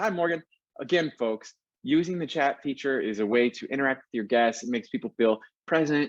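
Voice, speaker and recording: A man with an American accent and a fairly high pitch at a fairly quick pace, in a dry, close sound with no echo. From New York City. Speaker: auctioneer. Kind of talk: live auction demo, auctioneer patter.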